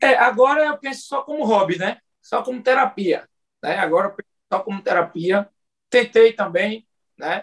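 This man's voice sits high for a man, with lively intonation broken by long, frequent pauses. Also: moderate pace. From Pernambuco, Brazil. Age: 40s. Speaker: local politician and entrepreneur. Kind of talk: interview. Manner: halting.

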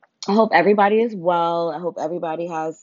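A woman with an American accent, fairly low pitch and ordinary pitch variation. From New York. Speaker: podcast host. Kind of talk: casual slang, profanity. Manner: energetic, casual.

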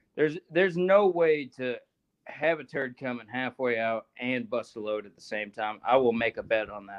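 A man talks at a moderate pace in a normal speaking voice with medium pitch. His intonation is lively, and his loudness swings widely. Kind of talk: casual banter.

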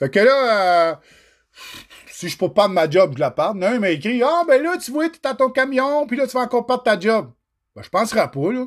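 Very wide pitch swings from a man with an extremely high pitch, at a fairly quick pace with long, frequent pauses, on a very clean recording with a silent background. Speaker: trucking podcaster. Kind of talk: solo livestream rant. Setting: livestream. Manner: animated.

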